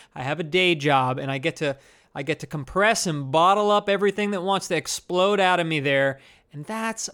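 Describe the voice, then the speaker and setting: On a very clean recording with a silent background, a man with an American accent talks at a moderate pace. His high voice has a bright, sharp tone. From New Jersey. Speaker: podcast host and stand-up comedian. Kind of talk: unscripted solo monologue. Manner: casual, rambling delivery with laughs.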